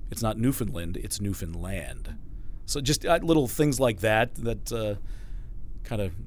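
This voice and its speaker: Vocal fry runs through a man's fairly low voice. He speaks at a fairly slow pace with lively intonation. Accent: American. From Chicago suburbs, US Midwest. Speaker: radio news reporter and sports broadcaster. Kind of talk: casual interview.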